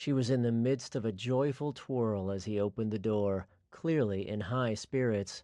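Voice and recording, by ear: Reading aloud in a natural voice, pitch varying by an ordinary amount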